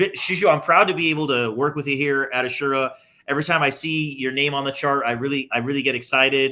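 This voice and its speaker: A man with an American accent speaks at a fairly quick pace in a fairly high pitch, his bright, sharp tone carried by fairly even intonation. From California. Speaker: insurance business owner, interviewer. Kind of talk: casual interview.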